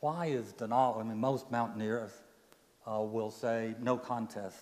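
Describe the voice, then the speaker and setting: Over audible room echo, a man with a medium pitch talks at a very slow pace with fairly even intonation. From Appalachia. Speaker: guest speaker, professor. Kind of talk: sermon.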